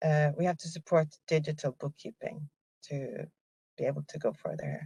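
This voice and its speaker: A woman's somewhat breathy voice at a moderate pace, dry and close with no echo. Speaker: programme manager presenting at a webinar. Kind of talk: answering audience question; webinar presentation. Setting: video call webinar. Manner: hesitant, many fillers.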